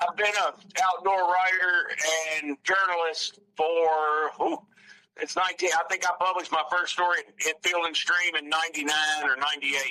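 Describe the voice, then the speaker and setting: With a Southern US accent, a man talks at a moderate pace in a high pitch, his intonation fairly even. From US South, North Alabama. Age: 60s. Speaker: outdoor writer and journalist. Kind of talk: casual interview chat. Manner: halting, many restarts.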